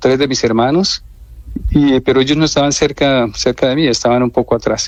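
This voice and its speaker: With music in the background, a man of medium pitch talks in fairly even intonation, the sound dry and close with no echo. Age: 60s. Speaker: abuse survivor. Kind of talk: radio interview testimony. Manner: hesitant, with fillers.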